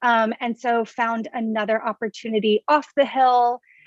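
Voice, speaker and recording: An ordinary speaking voice from a woman with an American accent, fairly high in pitch at a moderate pace, dry and close with no echo over a quiet background. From US South, Baton Rouge, Louisiana. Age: 20s. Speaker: political club board member. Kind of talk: casual chat.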